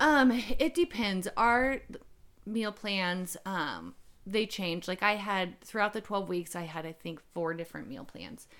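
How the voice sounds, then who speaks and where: It is a normal speaking voice with lively intonation. The pace is fairly slow, and the loudness swings widely. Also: woman, medium pitch for a woman, very clean recording, silent background. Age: 30s. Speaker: bodybuilding bikini competitor. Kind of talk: interview.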